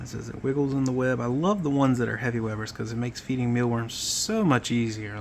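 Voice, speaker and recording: A man speaks at a fairly quick pace in a medium voice, with ordinary pitch variation and noticeable background noise. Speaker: tarantula keeper. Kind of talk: casual vlog narration. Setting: at home. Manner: halting.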